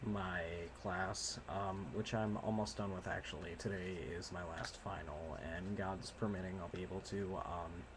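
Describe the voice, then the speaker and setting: The man's voice sits very deep and low. He takes his time, going fairly slowly. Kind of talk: casual talk to camera. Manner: quiet.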